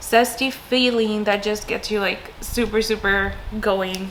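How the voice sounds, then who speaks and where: A woman with a fairly high pitch and fairly even intonation talks through noticeable background noise. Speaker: entrepreneur and marketing coach. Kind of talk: casual talk to camera.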